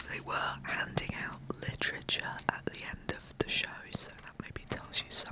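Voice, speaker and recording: Someone whispers at a moderate pace against noticeable background noise. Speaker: artist and small online shop owner. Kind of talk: ASMR whispered narration. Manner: whispered.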